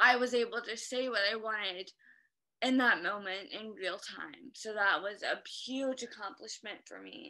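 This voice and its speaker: Against a quiet background, a woman with a bright, sharp tone and fairly high pitch talks at a moderate pace, with ordinary pitch variation and big swings in loudness. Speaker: stroke survivor. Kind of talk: interview. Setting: video call. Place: home room. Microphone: video call.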